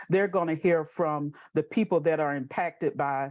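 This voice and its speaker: Against a quiet background, a woman with a Southern US accent speaks at a moderate pace in a very deep, low pitch with ordinary pitch variation. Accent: Southern US (Georgia). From US South, southwest Georgia. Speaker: housing advocacy organization president. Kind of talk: panel webinar introduction.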